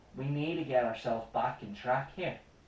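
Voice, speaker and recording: A man speaks at a moderate pace with ordinary pitch variation. The room echo is audible. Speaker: comedy news show host. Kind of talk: comedic news commentary rant. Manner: impassioned.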